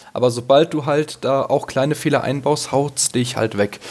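This man's voice sits at a medium pitch. Background noise is noticeable throughout. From Hesse, near Darmstadt, Germany. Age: 20s. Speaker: listener guest, ski fan. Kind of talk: casual chat. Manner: halting, many fillers.

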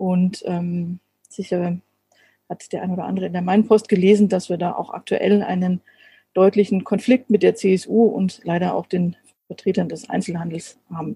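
In a dry, close sound with no echo, a woman speaks at a medium pitch and moderate pace, somewhat breathy, with a dark, mellow tone and fairly even intonation. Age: 40s. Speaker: city councillor and chemist. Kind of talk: casual interview. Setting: video call.

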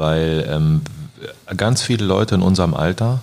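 A man talks at a moderate pace with lively intonation. His pitch is very deep and low. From Germany, Braunschweig. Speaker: graffiti artist. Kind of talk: casual chat.

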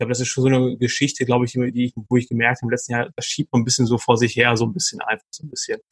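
Somewhat breathy and very fast, the voice sounds dry and close with no echo. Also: man, medium pitch for a man. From Ruhr area, Germany (Dortmund). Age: 30s. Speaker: dating podcast guest. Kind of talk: casual interview. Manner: halting, many fillers.

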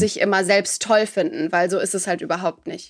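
Her pace moderate and her pitch variation ordinary, a woman is speaking. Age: 20s. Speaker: podcaster and beauty pageant runner-up. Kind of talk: interview. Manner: hesitant fillers.

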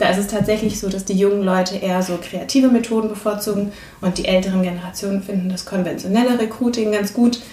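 Over noticeable background noise and audible room echo, a woman talks very fast at medium pitch in a monotone, flat intonation. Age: 30s. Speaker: systemic coach. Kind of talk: interview.

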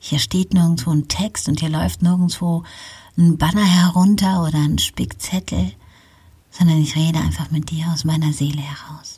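At a moderate pace, a woman speaks with a very deep, low pitch, a dark, mellow tone, ordinary pitch variation and a somewhat breathy sound. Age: 50s. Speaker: podcast host, pastoral counselor. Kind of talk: solo podcast monologue, motivational. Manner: unscripted, freely spoken.

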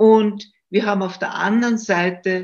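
A woman speaks at a very slow pace. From Austria, Styria. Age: 70s. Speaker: retired judge and political commentator. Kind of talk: interview. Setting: video call.

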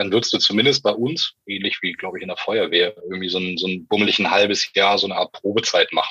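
Dry and close with no echo, the recording carries a man speaking rather quickly. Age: 40s. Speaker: rescue dog handler. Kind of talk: interview.

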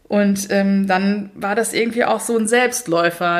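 Noticeable background noise runs under this woman's voice. Her pitch is medium and her intonation fairly even. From Mainz, Germany. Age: 30s. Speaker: author and minimalism coach. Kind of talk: casual interview. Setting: in-person recording at host's home.

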